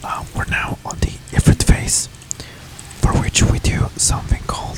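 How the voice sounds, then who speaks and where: Someone whispers at a fairly slow pace with a non-native accent, leaving long, frequent pauses over noticeable background noise. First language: not English. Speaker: gaming ASMR creator. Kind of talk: ASMR gameplay commentary. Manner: soft-spoken; hesitant with filler words.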